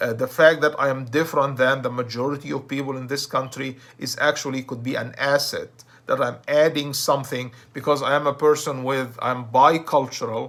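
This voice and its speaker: On a very clean recording with a silent background, a man with a fairly high pitch and a bright, sharp tone speaks at a moderate pace. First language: Arabic. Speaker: self-help speaker. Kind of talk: motivational talk. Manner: hesitant, with false starts.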